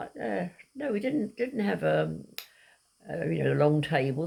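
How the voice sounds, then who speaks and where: A woman with a southern English accent speaks at a moderate pace. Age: 80s+. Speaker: elderly mother reminiscing. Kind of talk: casual chat. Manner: halting.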